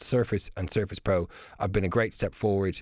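Speaking with an Irish accent at a fairly quick pace, a man uses a fairly low pitch and fairly even intonation, in a very clean recording with a silent background. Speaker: technology contributor. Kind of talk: radio chat. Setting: studio. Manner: halting.

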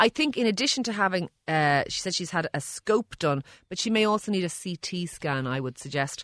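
A woman with an Irish accent talks at a fairly quick pace with very wide pitch swings, recorded very cleanly against a silent background with a dry, close sound and no echo. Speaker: doctor. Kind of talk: casual banter about health questions, with a radio co-host. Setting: radio studio.

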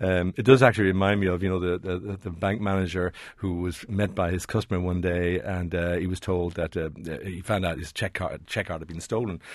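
A man with an Irish accent and a very deep, low pitch, at a fairly quick pace with fairly even intonation, hardly any pauses and a quiet background. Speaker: personal finance expert. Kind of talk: radio advice segment.

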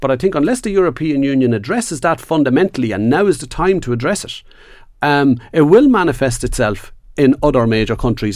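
Talking at a very fast pace, a man with an Irish accent makes very wide pitch swings. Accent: Irish (Louth). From Ireland, Dundalk. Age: 40s. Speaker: trade unionist. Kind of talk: panel discussion.

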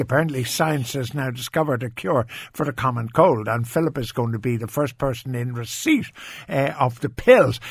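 A somewhat breathy voice with ordinary pitch variation speaks at a moderate pace. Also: man. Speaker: radio host. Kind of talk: casual radio chat. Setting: studio.

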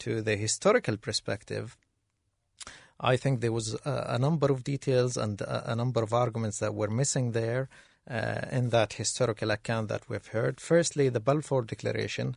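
A man with an Arabic accent at medium pitch, somewhat breathy, at a moderate pace with ordinary pitch variation, in a dry, close sound with no echo over a quiet background. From Gaza, Palestine. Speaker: assistant professor. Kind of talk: panel discussion.

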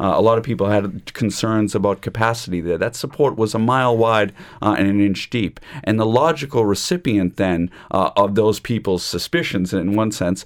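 In an American accent, a man talks with a normal speaking voice, fairly low in pitch, at a moderate pace with ordinary pitch variation. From United States. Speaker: law lecturer. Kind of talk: panel discussion on radio. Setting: studio.

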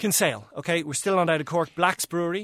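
Someone talks fairly quickly with an Irish accent. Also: man. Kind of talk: casual chat.

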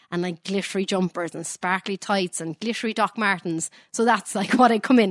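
In a very clean recording with a silent background and a dry, close sound with no echo, a woman with an unremarkable speaking voice talks at a medium pitch and a fairly quick pace, her intonation fairly even. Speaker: singer. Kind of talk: casual radio interview.

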